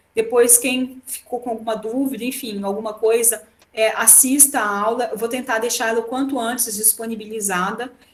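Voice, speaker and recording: Noticeable background noise sits behind a woman's voice. She speaks at a fairly high pitch with fairly even intonation. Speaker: law professor. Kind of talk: online lecture. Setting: remote class via computer. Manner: fast.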